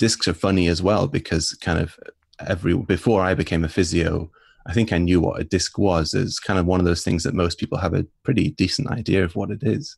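A very deep, low, somewhat breathy man's voice at a fairly quick pace with ordinary pitch variation. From northern England, Northumberland. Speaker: physiotherapist. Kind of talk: interview. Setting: remote call.

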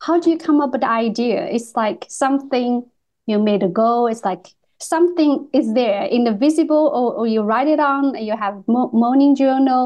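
A woman talks with a high pitch and ordinary pitch variation. Her pace is moderate. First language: not English. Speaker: podcast host and artist. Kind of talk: casual interview. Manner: halting.

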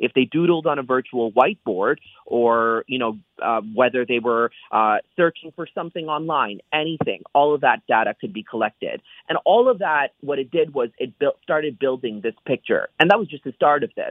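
With lively intonation and a moderate pace, a man speaks in an ordinary speaking voice that sits fairly high in pitch. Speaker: technology reporter. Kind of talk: interview.

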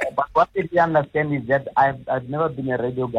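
Fairly high in pitch and somewhat breathy, a man speaks with ordinary pitch variation. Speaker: former radio host, faith author. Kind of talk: phone-in call. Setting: phone call.

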